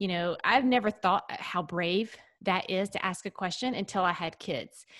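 A woman speaks in a normal speaking voice at a medium pitch and moderate pace. The recording is very clean, with a silent background. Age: 40s. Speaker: author and podcast host. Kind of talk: casual chat.

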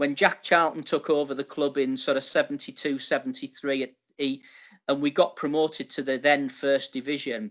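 Here a man speaks with a Teesside accent. His pitch sits fairly high. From Middlesbrough, northeast England. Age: 50s. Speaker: retired retail executive. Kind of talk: casual interview. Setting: call.

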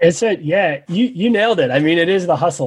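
This man speaks with a New Jersey accent. His pace is fairly quick, and his pitch variation is ordinary. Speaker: professional bike racer and journalist. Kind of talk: casual chat. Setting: video chat.

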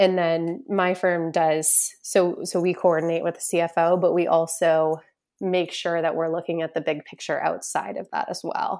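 In a very clean recording with a silent background, the speaker has an American accent and talks at a moderate pace with monotone, flat intonation. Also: woman, fairly low pitch for a woman. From US Northeast, Boston area. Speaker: financial planner, business founder. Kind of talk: podcast interview.

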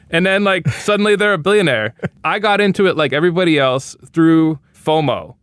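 A man with an American accent and a high pitch speaks at a fairly quick pace, with ordinary pitch variation and very even loudness. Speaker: investigative journalist and author. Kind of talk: interview.

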